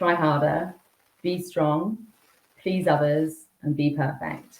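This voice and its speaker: A woman speaks in a very deep, low voice with fairly even intonation. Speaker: executive coach. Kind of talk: podcast interview. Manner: fast; jittery.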